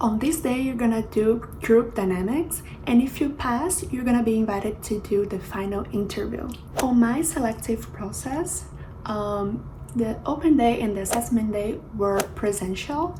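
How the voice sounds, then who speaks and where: A woman with a Portuguese accent at a fairly high pitch and moderate pace, with audible room echo and noticeable background noise. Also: ordinary pitch variation. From Brazil, Rio de Janeiro. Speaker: flight attendant, YouTuber. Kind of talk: vlog tutorial.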